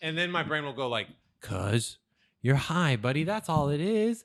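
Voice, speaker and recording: A loud man at a fairly high pitch, with very wide pitch swings and a fairly quick pace. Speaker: podcast co-host. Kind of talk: casual chat. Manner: fast, speeds up when excited.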